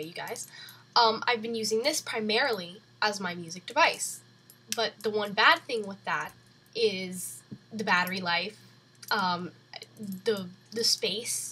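A woman's bright, sharp, fairly high voice moves at a moderate pace, with big swings in loudness and long, frequent pauses. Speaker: vlogger. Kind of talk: casual tech review vlog. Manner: chatty, informal with fillers.

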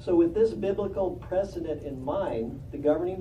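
A man speaks fairly quickly with ordinary pitch variation while noticeable background noise plays. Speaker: congregation elder giving a talk. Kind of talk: religious talk.

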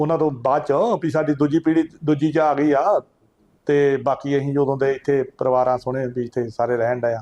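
A man's dark, mellow voice sits at a fairly high pitch, with fairly even intonation. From Punjab, India (Kapurthala district). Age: 60s. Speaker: village elder. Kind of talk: oral history interview. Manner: halting.

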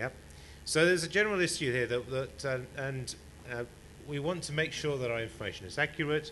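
A man with a British accent, bright and sharp in tone, fairly quick in pace, with ordinary pitch variation over light background noise. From England. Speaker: conference speaker, wiki editor; conference speaker. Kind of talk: conference presentation. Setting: stage with audience. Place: hall. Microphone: podium.

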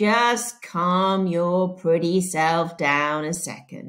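On a very clean recording with a silent background, a woman drawls in a put-on character voice at a fairly low pitch and a very slow pace, with ordinary pitch variation. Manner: slow drawl, unhurried, lazy.

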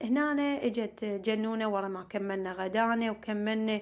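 This woman has a southern Iraqi accent and a fairly high pitch. She talks at a moderate pace with fairly even intonation. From Iraq, Maysan (Amarah). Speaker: family vlogger, homemaker. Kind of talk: casual vlog narration.

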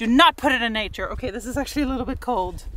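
The speech moves at a fairly quick pace with ordinary pitch variation, the sound dry with no echo and light background noise underneath. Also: woman. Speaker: travel vlogger. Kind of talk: casual vlog chat. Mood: playful, laughing. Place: open country.

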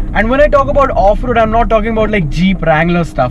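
There is noticeable background noise behind this man. He speaks at a fairly quick pace with lively intonation. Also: dry sound with no echo. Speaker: car reviewer. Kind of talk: car review commentary while driving. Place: car.

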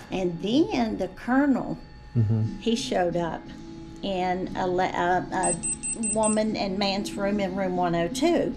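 Very slow speech over clear background music. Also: woman. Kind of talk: interview answer, storytelling. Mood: animated, amazed storytelling. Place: hall.

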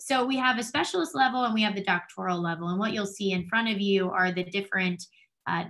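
A woman speaks with an American accent in a bright, sharp tone. The background is quiet. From New Jersey. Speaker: doctoral student in school psychology. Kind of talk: presentation. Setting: video call. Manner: fast. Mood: friendly, enthusiastic. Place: home room. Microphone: webcam.

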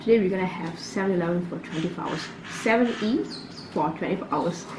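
Against noticeable background noise, a woman talks at a very fast pace. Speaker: food vlogger. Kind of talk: casual vlog chat. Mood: cheerful, upbeat. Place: home room. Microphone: camera far.

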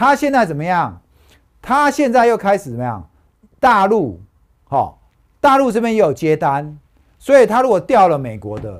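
High male voice, animated, with very wide pitch swings, a moderate pace and long, frequent pauses. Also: quiet background. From Taiwan. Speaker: stock market analyst; stock market analyst host. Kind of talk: casual chat. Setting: studio. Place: studio. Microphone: lapel.

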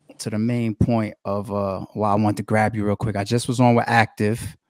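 A man's speech comes at a moderate pace, set against a quiet background. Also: dry sound with no echo. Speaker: podcast host. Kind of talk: casual podcast conversation. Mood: jovial, laughing. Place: home room. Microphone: studio mic.

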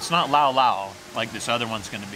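Clear background noise sits behind a man speaking at a medium pitch.

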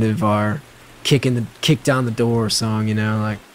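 Noticeable background noise sits behind a man's voice. He talks at a moderate pace in a medium pitch. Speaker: rock guitarist interviewed on podcasts and radio. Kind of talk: interview answers. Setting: interview recording, edited compilation with rain sounds.

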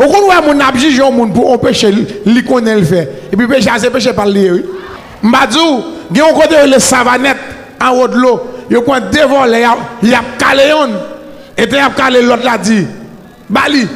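A man talks at an extremely high pitch, his loudness very even. He leaves long, frequent pauses. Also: ordinary pitch variation, moderate pace. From Haiti. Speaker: preacher. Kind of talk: sermon. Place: church. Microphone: handheld.

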